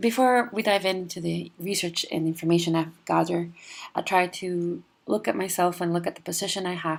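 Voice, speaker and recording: A woman's fairly low-pitched voice with a Spanish accent. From Mexico, near the US border. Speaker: PhD student, physical oceanographer. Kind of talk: class presentation. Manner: halting, with many fillers.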